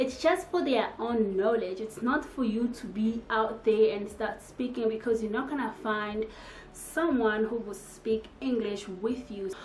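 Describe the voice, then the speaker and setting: The woman's voice is fairly high, with ordinary pitch variation and a fairly slow pace. Audible room echo surrounds it. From DR Congo. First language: French or Congolese languages. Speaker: YouTuber. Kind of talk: casual vlog talk to camera.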